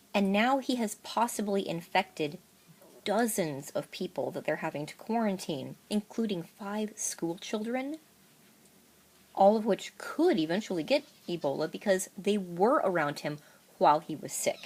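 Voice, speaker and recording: Moving at a moderate pace, this voice swings very widely in pitch. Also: woman, medium pitch for a woman. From Alaska. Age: 30s. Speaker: single mother living with cancer. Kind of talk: unscripted rant to camera. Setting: old iPad microphone.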